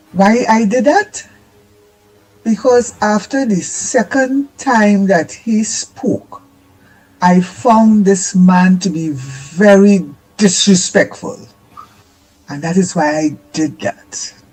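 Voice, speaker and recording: Long, frequent pauses break up the very slow speech, with noticeable background noise behind it. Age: 70s. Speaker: caller. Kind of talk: call-in opinion.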